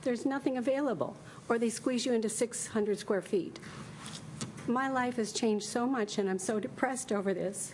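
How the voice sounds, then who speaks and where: With audible room echo around her, a woman talks at a fairly quick pace, her fairly high pitch showing ordinary variation and her loudness very even. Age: 70s. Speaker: hairdresser speaking at public comment. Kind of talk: public comment at council meeting. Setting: city council meeting.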